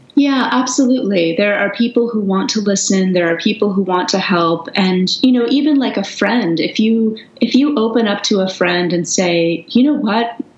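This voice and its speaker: Over noticeable background noise, a woman of medium pitch speaks at a moderate pace with very even loudness and hardly any pauses. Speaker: writer and author. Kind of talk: interview, casual chat.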